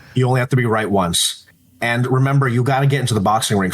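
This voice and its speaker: Over noticeable background noise, a man rushes along at a very fast pace with ordinary pitch variation. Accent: American. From Los Angeles, California. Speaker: entrepreneur and PR agency head. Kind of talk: podcast interview. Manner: loud.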